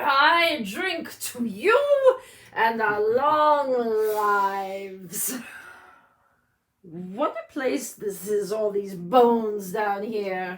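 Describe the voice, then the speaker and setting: A woman's put-on character voice, fairly high in pitch, at a very slow pace. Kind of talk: comic stage acting. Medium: stage play. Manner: boastful, jovial.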